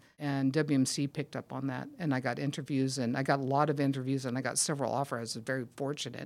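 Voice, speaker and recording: Over a silent background on a very clean recording, a woman with an American accent speaks at a very fast pace with hardly any pauses. Her very deep, low voice has monotone, flat intonation. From California, US. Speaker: mining geologist. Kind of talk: interview.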